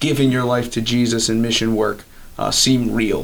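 Audible room echo surrounds this recording. The speaker is a man with a medium pitch. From Maryland, US (Elkton). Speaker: college student, campus ministry leader. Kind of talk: interview. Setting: on campus.

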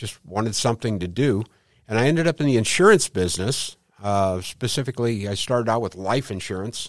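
A man speaks with a Midwestern American accent at fairly low pitch. His pace is moderate, with ordinary pitch variation. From St. Louis, Missouri. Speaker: Medicare insurance agent. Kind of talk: interview. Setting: studio.

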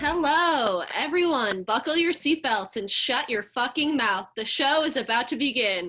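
Over noticeable background noise, a woman with a high pitch speaks in a raised, projected voice at a moderate pace, with lively intonation and hardly any pauses. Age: 20s. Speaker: podcast guest, cousin of a host. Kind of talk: casual chat. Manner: animated.

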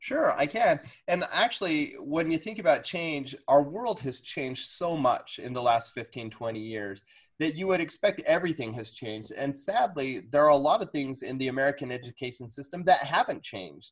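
A somewhat breathy man's voice, fairly high in pitch, with lively intonation and big swings in loudness. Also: moderate pace. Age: 40s. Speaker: fifth grade teacher. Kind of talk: casual interview.

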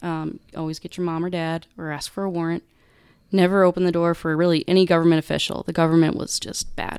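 In a very clean recording with a silent background, a woman with an American accent speaks at a fairly quick pace, her pitch fairly low and her intonation flat and monotone. The sound is dry and close, with no echo. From Wisconsin, US Midwest. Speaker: police officer. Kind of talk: casual interview, personal testimony.

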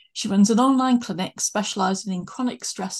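Over a quiet background, a woman speaks at a moderate pace in a somewhat breathy voice with ordinary pitch variation. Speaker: podcast host. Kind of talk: interview conversation.

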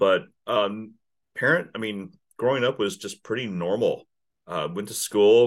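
This man has a plain, everyday voice, pitched fairly low, with ordinary pitch variation. The recording is very clean, with a silent background. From Kansas. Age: 50s. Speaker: business owner, sales consultant. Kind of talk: interview.

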